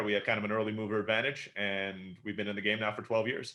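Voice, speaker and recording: A man's fairly low voice at a very fast pace. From Istanbul, Turkey (American parents). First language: Turkish. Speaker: entrepreneur. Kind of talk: podcast interview.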